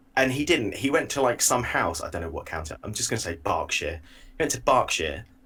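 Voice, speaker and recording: A man with an English accent speaks at a fairly quick pace in a very clean recording with a silent background. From England. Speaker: podcast co-host. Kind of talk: casual chat.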